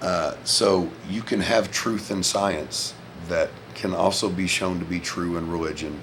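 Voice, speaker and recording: Spoken in a Southern US accent with fairly even intonation, the voice comes through audible room echo and noticeable background noise. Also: man, very deep, low pitch for a man, fairly slow pace. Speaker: vlogger, former Marine. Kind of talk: casual monologue vlog. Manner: loud.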